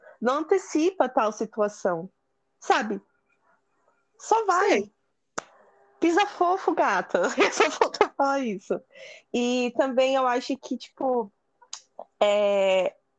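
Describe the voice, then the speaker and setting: Very slow delivery with long, frequent pauses and very wide pitch swings, in a dry, close sound with no echo. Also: woman, high pitch for a woman. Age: 20s. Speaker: podcast guest. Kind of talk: casual chat. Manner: animated.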